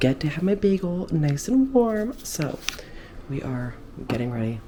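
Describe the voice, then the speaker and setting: Speaking at a moderate pace, a woman is heard with noticeable background noise and audible room echo. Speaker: fitness vlogger and bikini competitor. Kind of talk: workout voiceover; casual vlog talk. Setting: airport.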